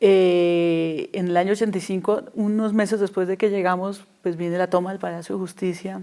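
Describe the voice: Fairly low in pitch, a woman speaks in a dark, mellow tone with fairly even intonation. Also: moderate pace.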